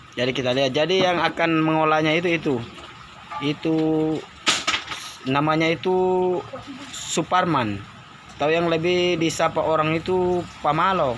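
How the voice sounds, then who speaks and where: This man has a fairly high pitch and fairly even intonation, moving at a moderate pace with long, frequent pauses. Noticeable background noise runs underneath. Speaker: vlogger, gold-processing mill owner. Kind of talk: casual vlog walkthrough. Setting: outdoors at a gold-processing mill, handheld camera.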